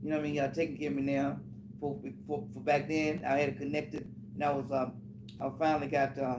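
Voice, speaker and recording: With audible room echo, a man talks at a very fast pace and a fairly high pitch, with fairly even intonation and long, frequent pauses. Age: 70s. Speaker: blues musician. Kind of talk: casual chat. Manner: halting.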